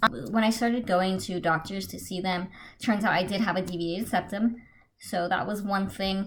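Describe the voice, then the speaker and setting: Somewhat breathy, the voice moves at a moderate pace with fairly even intonation. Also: woman, medium pitch for a woman. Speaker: beauty and travel vlogger. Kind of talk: casual storytime vlog. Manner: casual, hesitant with many fillers.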